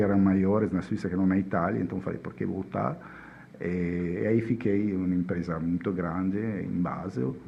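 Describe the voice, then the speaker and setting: At a moderate pace, a man with a strong Italian accent talks in a fairly low voice. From Italy. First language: Italian (speaking Portuguese). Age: 50s. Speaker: chemist. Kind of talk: podcast interview. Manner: halting.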